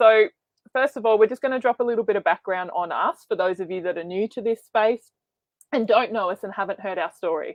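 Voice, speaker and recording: A woman with an Australian accent speaks at a fairly quick pace, her fairly high pitch moving with ordinary variation. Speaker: online business coach. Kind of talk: webinar presentation. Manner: fast.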